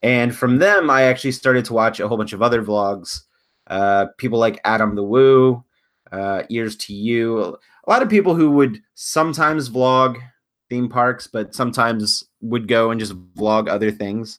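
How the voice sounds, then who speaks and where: On a very clean recording with a silent background, a man with an American accent speaks at medium pitch. His is an unremarkable speaking voice with ordinary pitch variation. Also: moderate pace. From US South, Louisiana (Houma, south of New Orleans). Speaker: YouTuber and paranormal researcher. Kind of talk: casual chat. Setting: livestreamed podcast.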